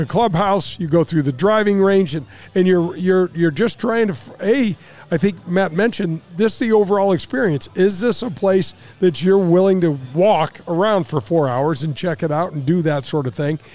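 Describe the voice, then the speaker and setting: Through noticeable background noise, a man with an American accent and a high pitch talks at a moderate pace with ordinary pitch variation. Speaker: radio host and former pro golfer. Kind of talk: casual chat. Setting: remote broadcast at a sports bar.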